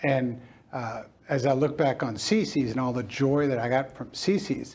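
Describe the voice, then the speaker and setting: Fairly high in pitch, a man with an American accent speaks at a fairly slow pace. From Brooklyn, New York. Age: 60s. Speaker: restaurant chain founder. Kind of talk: interview. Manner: reflective, with frequent hesitations.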